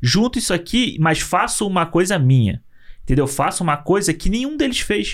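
At a moderate pace, a man speaks in an animated tone with very wide pitch swings. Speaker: film podcast co-host. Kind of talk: casual chat.

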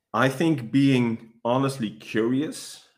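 Recorded very cleanly against a silent background, a man speaks at a very slow pace. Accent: Dutch. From Netherlands. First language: Dutch. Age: 30s. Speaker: police dog handler. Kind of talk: interview.

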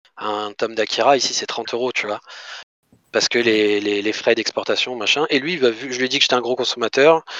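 A man speaks at a fairly quick pace in an unremarkable speaking voice, medium in pitch with ordinary pitch variation, and the sound is dry and close with no echo. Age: 30s. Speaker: manga collector. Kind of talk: casual chat.

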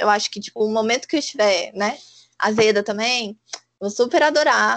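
A woman with a fairly high pitch talks at a fairly quick pace with ordinary pitch variation. It is an unremarkable speaking voice. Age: 20s. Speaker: podcast co-host. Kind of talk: casual chat.

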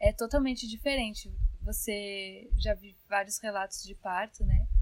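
With noticeable noise in the background, a woman talks fairly slowly in a flat, monotone intonation. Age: 20s. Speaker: new mother sharing birth story. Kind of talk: casual interview.

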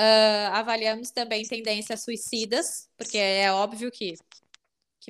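A woman with a normal speaking voice talks at a fairly slow pace on a very clean recording with a silent background. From southern Brazil, Porto Alegre. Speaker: psychologist. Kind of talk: interview.

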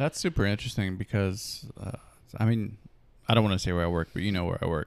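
The recording is very clean, with a silent background. A man with an ordinary speaking voice talks at a fairly low pitch with ordinary pitch variation. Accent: American. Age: 30s. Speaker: podcast host. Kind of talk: casual interview.

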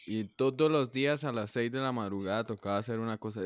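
A man with an ordinary speaking voice at a fairly quick pace, ordinary pitch variation, dry, close sound with no echo. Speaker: podcast co-host. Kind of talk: casual chat.

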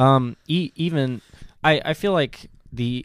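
The voice belongs to a man. Nothing can be heard behind him, and the audio is very clean. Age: 20s. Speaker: podcast host. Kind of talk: casual chat. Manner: halting.

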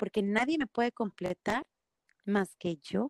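A woman at a moderate pace with lively intonation, in a dry, close sound with no echo. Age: 40s. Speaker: fitness studio founder. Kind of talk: interview. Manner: halting.

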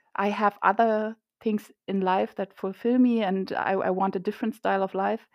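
With a German accent, a woman speaks at a moderate pace and medium pitch, her intonation monotone and flat. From Germany. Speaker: illustrator and comic artist. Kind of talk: interview.

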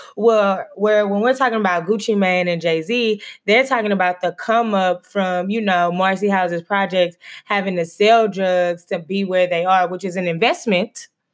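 A plain, everyday voice from a woman, medium in pitch, at a moderate pace with fairly even intonation, on a very clean recording with a silent background. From Texas. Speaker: podcast host, doctoral student and schoolteacher. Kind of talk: casual chat.

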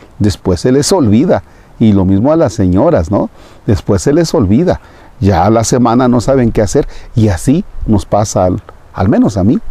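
In a dark, mellow tone at medium pitch, a man talks at a moderate pace with lively intonation and very even loudness. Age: 50s. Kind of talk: homily.

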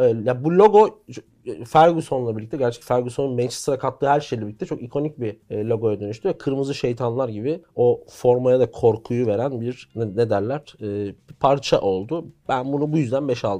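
A man speaks in a dark, mellow tone at a moderate pace. His pitch varies ordinarily against a quiet background. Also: medium pitch for a man. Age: young. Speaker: football commentator. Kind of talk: casual chat.

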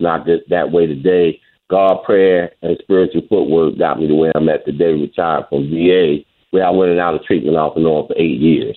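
A man speaks at an extremely low pitch. His intonation stays fairly even at a moderate pace.

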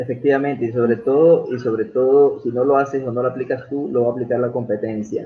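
Hardly pausing, a man with a medium pitch and fairly even intonation speaks at a very fast pace. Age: 30s. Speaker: live stream talk show host. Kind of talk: casual interview. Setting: live stream video call.

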